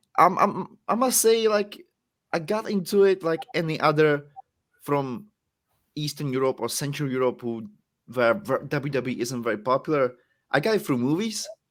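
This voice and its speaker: A man with a Czech accent at a moderate pace, fairly high in pitch, with very wide pitch swings and long, frequent pauses. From Czech Republic. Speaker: professional wrestler. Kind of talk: podcast interview.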